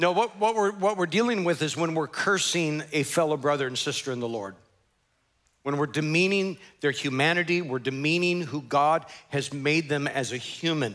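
A man with a bright, sharp tone and ordinary pitch variation speaks at a moderate pace against a quiet background. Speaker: pastor. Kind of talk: sermon. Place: church.

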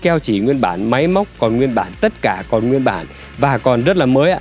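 A man keeps a moderate pace while faint music sounds in the background. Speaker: presenter. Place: street.

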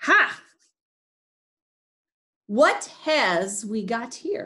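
Her pitch high and swinging very widely, a woman performs in a put-on character voice. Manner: menacing, gruff.

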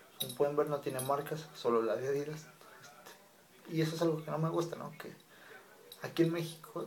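A man's voice amid noticeable background noise. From Mexico, Monterrey. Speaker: YouTuber. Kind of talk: casual vlog monologue.

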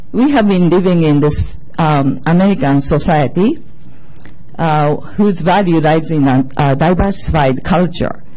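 In a Japanese accent, a woman talks at a fairly slow pace with very deep, low pitch and ordinary pitch variation. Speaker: mother and community member at public comment. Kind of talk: prepared public comment statement. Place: meeting room. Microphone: podium.

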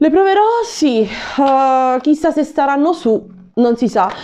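Over light background noise, a woman with a high pitch sounds animated, her voice making very wide pitch swings. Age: 30s. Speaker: YouTuber. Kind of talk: shopping haul video. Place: home room. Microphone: lapel.

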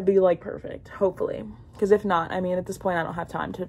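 Her intonation flat and monotone, a woman talks at a very fast pace. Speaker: lifestyle vlogger. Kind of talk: casual vlog chat. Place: home room. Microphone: phone near.

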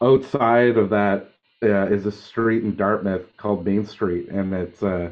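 With an unremarkable speaking voice, a man talks at a fairly slow pace, his pitch fairly low and his intonation fairly even. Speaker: interviewee. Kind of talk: interview answer. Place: home room. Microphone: video call.

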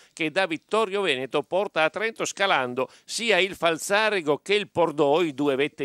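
A man with a bright, sharp tone and lively intonation speaks at a moderate pace, the sound dry and close with no echo in a very clean recording with a silent background. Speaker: sports commentator.

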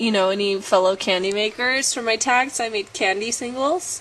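Ordinary pitch variation comes through over light background noise. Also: woman. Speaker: vlogger. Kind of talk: casual vlog monologue. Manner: chatty, animated, rambling. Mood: earnest advice, animated.

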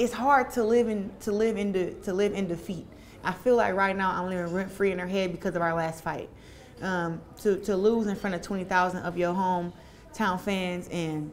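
The voice moves at a moderate pace with fairly even intonation. There is light background noise. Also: woman. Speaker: interviewee. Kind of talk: interview answer. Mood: confident, relaxed, some laughter. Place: home room. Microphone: lapel.

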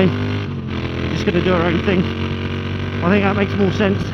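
A fairly quick pace, with loud background noise and a dry sound with no echo. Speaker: rider vlogger. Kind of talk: casual moto vlog commentary. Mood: cheerful, excited. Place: motorbike.

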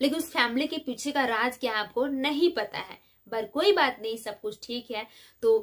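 The delivery is animated and dramatic, with ordinary pitch variation. Behind it, the background is quiet. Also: woman, high pitch for a woman. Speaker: vlogger. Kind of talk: casual chat replying to viewer comments. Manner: animated, dramatic delivery. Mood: relaxed and friendly. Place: home room. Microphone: phone near.

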